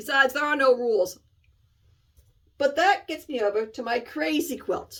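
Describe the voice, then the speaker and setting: Pausing often and at length, a woman with a high pitch talks at a moderate pace, her pitch swinging very widely. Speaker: cross-stitch video host. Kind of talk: casual chat.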